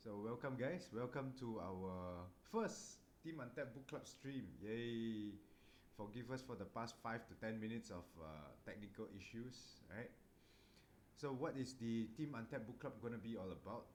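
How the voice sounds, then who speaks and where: A man's voice at medium pitch, with audible room echo. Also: ordinary pitch variation, moderate pace. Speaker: book club host. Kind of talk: casual chat. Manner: soft-spoken.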